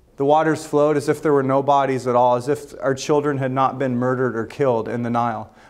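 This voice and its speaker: In a quiet background, a man speaks at a moderate pace with monotone, flat intonation. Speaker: pastor. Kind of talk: sermon. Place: hall. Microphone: lapel.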